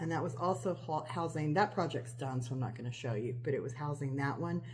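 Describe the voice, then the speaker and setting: Through audible room echo, a woman with a very deep, low pitch speaks at a fairly quick pace with ordinary pitch variation. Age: 50s. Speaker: cross-stitch video creator. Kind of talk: casual show-and-tell vlog. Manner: rambling with many fillers.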